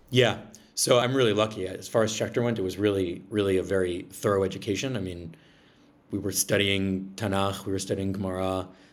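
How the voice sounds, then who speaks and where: With an American accent, a man talks at a fairly quick pace in a fairly low, monotone, flat delivery, and audible room echo surrounds him. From Massachusetts, Braintree south of Boston. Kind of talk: interview.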